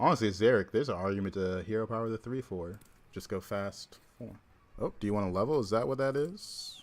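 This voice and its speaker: A man speaks at a fairly quick pace in a fairly low pitch. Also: ordinary pitch variation. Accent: slight Southern US. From US South, Georgia. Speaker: streamer, card game player. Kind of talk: livestream gameplay commentary. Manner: casual, chatty.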